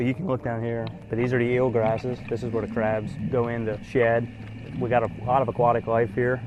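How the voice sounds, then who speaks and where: A flat, monotone voice in an American accent comes through over noticeable background noise. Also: man, medium pitch for a man, fairly quick pace. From Tangier Island, Virginia (Chesapeake Bay). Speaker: photographer, tour guide and island official. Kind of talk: interview, explaining outdoors. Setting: outdoors on a boat.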